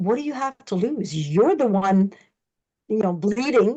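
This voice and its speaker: Her voice sits fairly high. This woman talks with a French accent. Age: 60s. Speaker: colon hydrotherapist. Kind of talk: interview. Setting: podcast.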